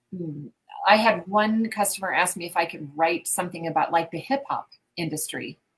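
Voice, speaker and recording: A woman speaks with an American accent in a fairly low pitch. Her voice is somewhat breathy. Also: ordinary pitch variation, moderate pace, big swings in loudness. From US Midwest. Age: 60s. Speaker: business owner and mystery game writer. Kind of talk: interview conversation.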